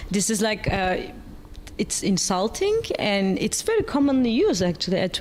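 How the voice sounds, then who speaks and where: A woman speaks at a moderate pace in a fairly high pitch. Noticeable background noise can be heard. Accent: Turkish. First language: Turkish. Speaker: panel moderator. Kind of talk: panel discussion.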